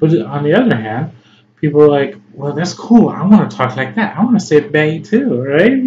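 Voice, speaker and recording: A man speaks with a Chicago accent at a moderate pace. His fairly high pitch moves in very wide swings. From US Midwest, Chicago. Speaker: English tutor. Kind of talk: tutorial. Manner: halting, many fillers.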